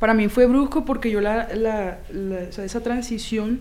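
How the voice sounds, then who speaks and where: There is audible room echo around a woman with a fairly high pitch. She talks at a moderate pace. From Barranquilla, Colombian Caribbean coast. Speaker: former guerrilla combatant, theatre maker. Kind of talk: interview testimony. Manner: halting, with repetitions.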